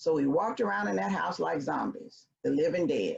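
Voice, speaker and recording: Delivered at a moderate pace in a Memphis accent, the voice swings very widely in pitch and shows vocal fry. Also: woman. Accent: Southern US (Memphis). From US South, Memphis, Tennessee. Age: 60s. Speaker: consultant and speaker. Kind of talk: personal storytelling. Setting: virtual event.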